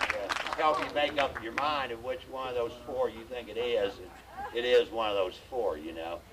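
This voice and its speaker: Over loud background noise, a man talks at a medium pitch with ordinary pitch variation. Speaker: stand-up comedian. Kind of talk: live stand-up comedy. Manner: storytelling, well-timed delivery. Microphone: handheld.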